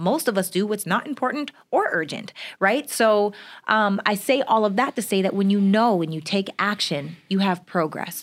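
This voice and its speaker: At a medium pitch and moderate pace, a woman speaks in an ordinary speaking voice with ordinary pitch variation on a very clean recording with a silent background. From Canada. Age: 30s. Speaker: entrepreneur and business coach. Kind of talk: casual interview.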